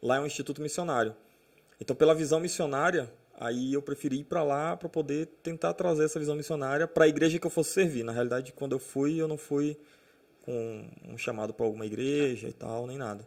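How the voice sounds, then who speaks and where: A fairly quick pace and pitch that shifts in an ordinary way. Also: man, fairly high pitch for a man. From Brazil, moved around (Amazonas, São Paulo, Minas, Goiás, Natal). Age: 30s. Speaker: pastor. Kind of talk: casual chat.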